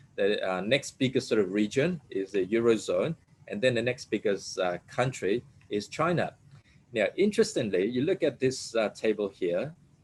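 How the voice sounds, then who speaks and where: At a moderate pace, a man talks with a medium pitch and lively intonation. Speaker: economist giving a guest lecture. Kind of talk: lecture. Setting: webinar with shared screen. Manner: hesitant fillers.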